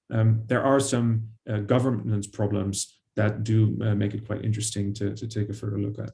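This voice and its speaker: A man's somewhat breathy voice, dark and mellow in tone, monotone and flat in intonation, at a moderate pace with hardly any pauses. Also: fairly low pitch for a man. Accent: Dutch. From Netherlands. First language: Dutch. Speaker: historian, author. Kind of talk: panel discussion. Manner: hesitant, many fillers.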